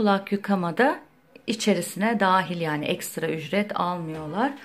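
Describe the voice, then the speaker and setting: Here a woman speaks at a very slow pace. Her pitch sits in the medium range. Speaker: lifestyle vlogger. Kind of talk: casual vlog chat.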